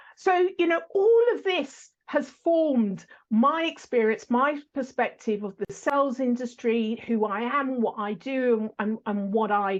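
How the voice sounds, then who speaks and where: A woman with an English accent, high-pitched, fairly slow and lively in intonation. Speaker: sales podcast host. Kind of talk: interview answers, telling her life story.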